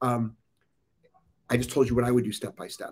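Speaking at a fairly quick pace, a man uses an animated tone. His medium-pitched voice is somewhat breathy. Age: 50s. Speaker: dog trainer and live Q&A show host. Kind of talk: live-streamed Q&A. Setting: outdoors on a live video stream abroad. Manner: animated, blunt.

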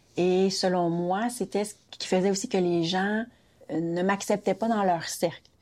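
At a fairly slow pace, a woman with an unremarkable speaking voice talks at a medium pitch with fairly even intonation on a very clean recording with a silent background. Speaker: daughter of immigrant. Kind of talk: interview.

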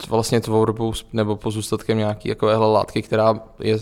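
A man's fairly low-pitched voice. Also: very clean recording, silent background. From Czechia, Plzeň. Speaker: university student. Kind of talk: radio interview. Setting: student brewery.

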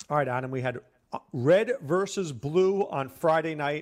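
At a moderate pace and with ordinary pitch variation, a man talks in an ordinary speaking voice. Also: very clean recording, silent background. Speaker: fantasy football analyst, co-host. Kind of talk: casual sports talk.

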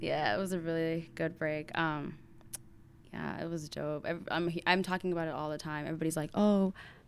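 Here is a woman with an American accent and a plain, everyday voice. She keeps a moderate pace, a fairly low pitch and fairly even intonation. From Minneapolis, Minnesota. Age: 20s. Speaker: university student. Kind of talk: casual chat.

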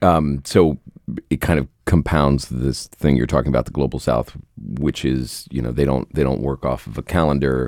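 In an American accent, a man with a very deep, low voice and vocal fry talks at a moderate pace with fairly even intonation, the sound dry and close with no echo. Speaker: podcast host. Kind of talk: interview conversation.

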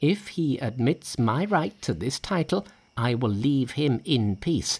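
A man's put-on character voice, slightly mellow in tone with a slightly husky edge, slow in pace with lively intonation. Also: medium pitch for a man.

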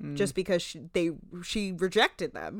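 Over a very clean recording with a silent background, a woman with a New Jersey accent speaks at a medium pitch in a bright, sharp tone. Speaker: podcast co-host.

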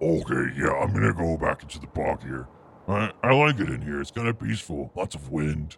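A man puts on a character voice pitched very deep and low, speaking at a moderate pace. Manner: simple, slow, good-natured.

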